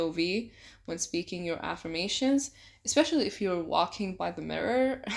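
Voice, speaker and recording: A woman speaks at a medium pitch with a non-native accent. The recording is very clean with a silent background. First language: not English. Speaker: self-help youtuber. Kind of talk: tutorial. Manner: casual.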